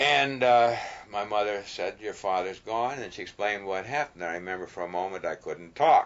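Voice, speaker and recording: A man's ordinary speaking voice, pitched fairly low, with ordinary pitch variation and a moderate pace. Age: 60s. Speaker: farmer and former soldier. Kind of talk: documentary interview.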